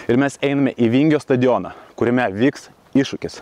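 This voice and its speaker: A man's voice with a dry sound and no echo. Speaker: fitness coach. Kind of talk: casual vlog chat and instruction. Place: open country. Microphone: phone near.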